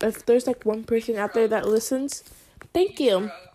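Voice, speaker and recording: With an American accent, a woman talks at a fairly high pitch over noticeable background noise. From United States. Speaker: amateur podcaster. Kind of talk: casual chat. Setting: at a friend's house with friends present. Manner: rambling with frequent fillers and laughter.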